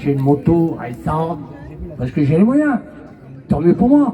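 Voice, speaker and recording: Crowd noise sits in the background while the speech keeps a moderate pace. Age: 70s. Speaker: motorcyclist protester. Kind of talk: street interview.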